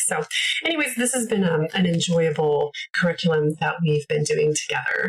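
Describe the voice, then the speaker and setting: A somewhat breathy woman's voice with a Canadian accent, fairly low pitch and a moderate pace. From Canada. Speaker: homeschooling parent, video creator. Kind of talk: casual tutorial, curriculum walkthrough. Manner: casual, many filler words.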